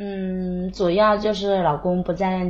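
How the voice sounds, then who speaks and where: Somewhat breathy, the voice moves at a very slow pace. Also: woman. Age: 20s. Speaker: caller. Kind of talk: phone-in personal story. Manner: soft-spoken. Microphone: quiet, far from the mic.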